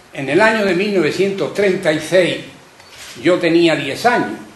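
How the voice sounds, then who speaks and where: A man with a high pitch and lively intonation talks at a fairly slow pace. Audible room echo and noticeable background noise surround him. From Carmona, Andalusia. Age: 80s+. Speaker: audience member, civil war witness. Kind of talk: public testimony.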